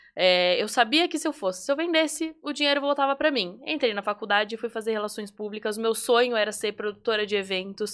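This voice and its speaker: In a normal speaking voice, a woman with a fairly high pitch and lively intonation talks at a fairly quick pace with hardly any pauses, on a very clean recording with a silent background. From Brazil, São Paulo state (Atibaia). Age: 20s. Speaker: entrepreneur, confectioner. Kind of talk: podcast interview.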